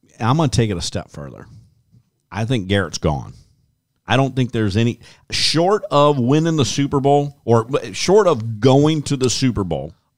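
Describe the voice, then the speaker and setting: Animated and with lively intonation, a man with an American accent speaks at a moderate pace in a medium pitch, leaving long, frequent pauses. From rural US. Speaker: sports podcast co-host. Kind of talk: casual sports chat.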